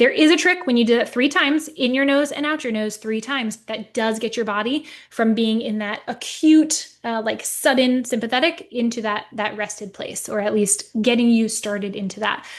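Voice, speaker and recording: Someone with an American accent speaks at a moderate pace with ordinary pitch variation and hardly any pauses. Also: woman, fairly high pitch for a woman. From New Jersey. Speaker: natural remedies educator. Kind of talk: webinar presentation. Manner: animated.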